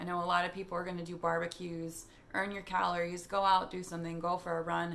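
Her speech is very fast. The woman's pitch sits fairly low. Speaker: fitness vlogger. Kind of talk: casual vlog chat. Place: home room. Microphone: phone near.

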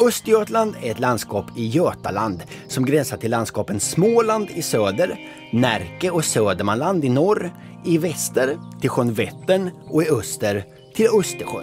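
A man at a medium pitch, fairly slow pace and very wide pitch swings, with music in the background. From Östergötland, Sweden. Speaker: comedian. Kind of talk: educational documentary narration.

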